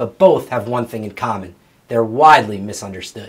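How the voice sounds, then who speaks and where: With ordinary pitch variation and a normal speaking voice, a man speaks at a moderate pace. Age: 20s. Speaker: drag racer and house flipper. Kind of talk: scripted narration.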